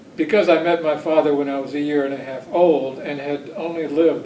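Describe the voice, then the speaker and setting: A man with a Southern US accent speaks at a fairly high pitch and moderate pace, with fairly even intonation. Noticeable background noise and audible room echo are present. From Alabama, US South (Huntsville). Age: 60s. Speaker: son of a rocket engineer, oral history interviewee. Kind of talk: oral history interview. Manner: hesitant, many fillers.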